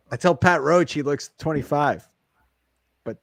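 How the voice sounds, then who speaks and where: Recorded with a dry, close sound and no echo, a man with a fairly high pitch talks at a moderate pace. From Nebraska. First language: non-English. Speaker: podcast host. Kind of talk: casual interview.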